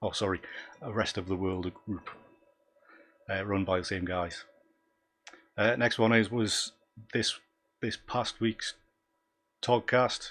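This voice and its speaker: Speaking at a fairly slow pace with long, frequent pauses, a man with a Northumbrian accent keeps a fairly low pitch and fairly even intonation. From North East England, Northumberland. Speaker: photography YouTuber, abstract landscape photographer. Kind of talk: live stream commentary. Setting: live stream from home. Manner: hesitant, many fillers.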